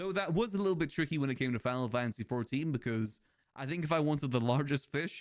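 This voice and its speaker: A man at a moderate pace, his pitch fairly high. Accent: British. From Britain. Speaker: video game streamer. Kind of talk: casual live-stream chat. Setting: live stream.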